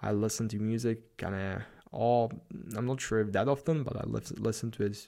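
On a very clean recording with a silent background, a man with a Slavic accent speaks in an animated tone with vocal fry. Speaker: podcast host, productivity and self-improvement. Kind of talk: solo monologue, motivational talk. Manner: animated, hyped, motivational.

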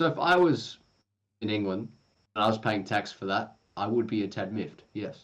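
A man with an unremarkable speaking voice talks at a moderate pace with a fairly low pitch. His intonation is lively, and the background is quiet. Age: young. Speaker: podcast co-host. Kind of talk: casual chat.

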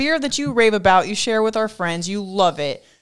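Recorded very cleanly over a silent background, a woman speaks at a medium pitch with lively intonation. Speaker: podcast co-host. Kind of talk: casual chat. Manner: loud.

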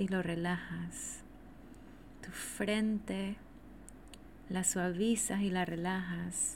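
Somewhat breathy, warm and gentle in tone, the voice moves at a very slow pace with flat, monotone intonation. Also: woman. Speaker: podcast host and energy teacher. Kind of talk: guided meditation (yoga nidra), spoken slowly to the listener. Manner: slow, soothing, calm, repetitive, with long pauses; warm, gentle, intimate.

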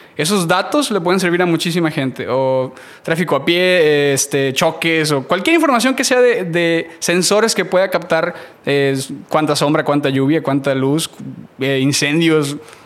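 This is a normal speaking voice at a fairly slow pace. The pitch varies an ordinary amount. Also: man, fairly high pitch for a man. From Mexico, Matamoros, Tamaulipas. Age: 30s. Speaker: graphic designer. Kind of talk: casual interview.

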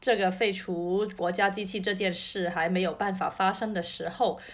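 Speaking at a moderate pace with a Cantonese accent, a woman keeps her medium pitch and fairly even intonation. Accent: Cantonese-accented Mandarin. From Cantonese-speaking region. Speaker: podcast co-host. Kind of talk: casual chat. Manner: repeats words, halting.

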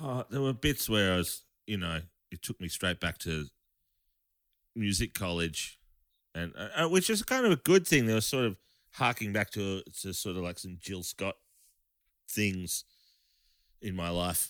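A man with an Australian accent speaks at a moderate pace and fairly low pitch, using lively intonation and long, frequent pauses, in a dry, close sound with no echo. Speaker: bass player. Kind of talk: casual chat. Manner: halting.

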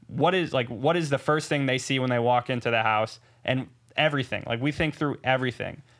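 A man with a normal speaking voice and an American accent talks at a fairly quick pace in a medium pitch, with fairly even intonation and very even loudness, in a very clean recording with a silent background. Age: 20s. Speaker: short-term rental entrepreneur. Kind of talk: interview.

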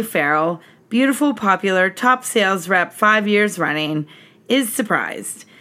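A woman talks at a moderate pace with lively intonation and a medium pitch. Her tone is bright and sharp. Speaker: podcast host. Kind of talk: casual chat. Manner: laughs often.

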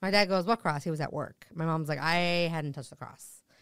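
An unremarkable speaking voice moves at a moderate pace on a very clean recording with a silent background. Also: woman. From New Jersey. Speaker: comedian. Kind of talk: casual chat.

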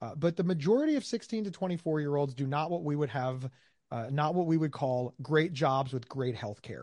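Fairly high in pitch, a man speaks at a fairly quick pace with ordinary pitch variation. The background is quiet. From USA. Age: 40s. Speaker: mental health advocate and podcaster. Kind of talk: interview. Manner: animated.

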